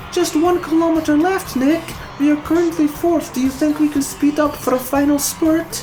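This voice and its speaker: Loud background noise sits behind a put-on character voice pitched high. The delivery moves at a moderate pace. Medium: read story. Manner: earnest, upbeat.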